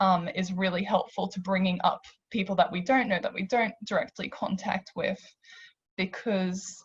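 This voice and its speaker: Speaking at a moderate pace with an Australian accent, a woman keeps a medium pitch and fairly even intonation in a somewhat breathy voice. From Australia, Hungarian immigrant family. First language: Hungarian. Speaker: panellist. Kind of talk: panel discussion.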